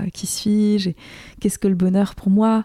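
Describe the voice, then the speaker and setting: Dry and close with no echo, a woman's voice has a dark, mellow tone. She speaks at a fairly slow pace. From Alsace, France. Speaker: author and filmmaker. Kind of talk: interview conversation. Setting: apartment in Toulouse. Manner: halting.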